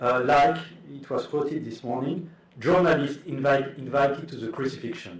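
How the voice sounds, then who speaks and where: A man with a non-native accent speaks at a fairly high pitch, somewhat breathy. Audible room echo surrounds his voice. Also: ordinary pitch variation, moderate pace. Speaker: academic speaker. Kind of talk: conference talk. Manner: halting.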